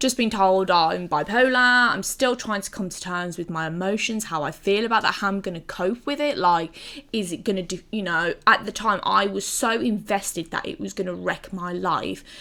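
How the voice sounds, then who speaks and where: Using an English accent, a woman with a bright, sharp tone and medium pitch talks at a moderate pace with ordinary pitch variation and hardly any pauses. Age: 30s. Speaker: gaming video creator. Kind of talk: personal testimony to camera. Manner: halting, with many fillers; loud.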